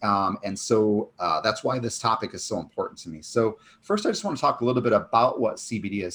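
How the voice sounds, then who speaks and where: The man's pitch is medium. It varies in an ordinary way. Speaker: chiropractor and author, summit speaker. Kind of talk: conference talk. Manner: fast.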